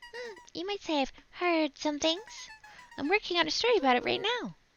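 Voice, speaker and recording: A put-on, squeaky character voice that sounds female, at an extremely high pitch and a fairly quick pace, with faint music in the background. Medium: game stream. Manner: confident, guarded.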